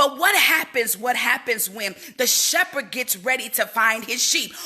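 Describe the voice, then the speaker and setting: With noticeable background noise, a woman speaks at a high pitch in an animated tone. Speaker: motivational speaker. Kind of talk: livestream motivational talk. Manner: quieter than usual.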